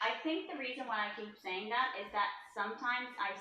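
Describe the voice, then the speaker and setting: Speech at a moderate pace in a Finnish accent, with very wide pitch swings. Audible room echo surrounds it. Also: woman. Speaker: travel vlogger. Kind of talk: casual chat.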